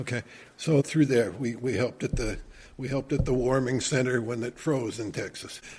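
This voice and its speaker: With an American accent, a man speaks fairly quickly in a somewhat breathy voice, keeping his intonation fairly even. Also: medium pitch for a man. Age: 70s. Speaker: retired church elder and volunteer. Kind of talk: casual interview chat. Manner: repetitive, with frequent restarts.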